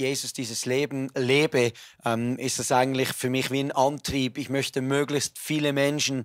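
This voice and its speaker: The recording is very clean, with a silent background. A man speaks at a medium pitch in monotone, flat intonation. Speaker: preacher. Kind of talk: interview. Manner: loud.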